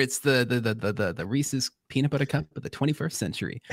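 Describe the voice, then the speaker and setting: With an animated tone and a Long Island accent, a man talks at a fairly quick pace in a dry, close sound with no echo. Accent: Long Island New York. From Long Island, New York. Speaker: podcast co-host. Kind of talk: casual chat.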